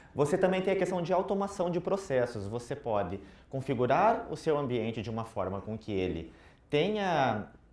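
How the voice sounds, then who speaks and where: With a Curitiba accent, a man of fairly high pitch swings very widely in pitch and shows vocal fry, heard with audible room echo. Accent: Curitiba accent, noticeable. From southern Brazil, Curitiba. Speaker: IT consultant, conference speaker. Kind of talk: tech conference talk. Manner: casual, interactive.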